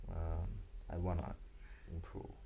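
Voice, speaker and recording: There is audible room echo around the man as he speaks. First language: not English. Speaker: vlogger. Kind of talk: casual vlog monologue. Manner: halting, many fillers and restarts.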